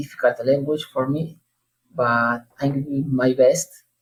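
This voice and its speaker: A man talks with a Spanish accent at a medium pitch. His intonation stays flat and monotone. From southern Argentina, Neuquén province. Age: 30s. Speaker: language learner. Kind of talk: interview. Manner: halting, many hesitations.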